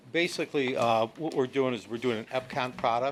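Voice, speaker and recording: An unremarkable speaking voice at a moderate pace with fairly even intonation. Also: man. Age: 60s. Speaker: real estate developer. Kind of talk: public meeting presentation.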